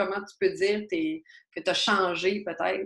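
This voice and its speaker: Speaking at a fairly slow pace, a woman talks with a Quebec accent. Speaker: podcast host, teacher. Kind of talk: interview.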